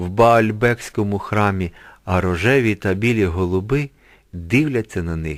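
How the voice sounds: The pitch moves an ordinary amount in this natural reading voice.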